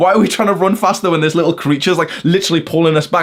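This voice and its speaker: An animated man with a British accent and a fairly high pitch, amid noticeable background noise. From UK. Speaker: self-improvement YouTuber. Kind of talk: casual lecture.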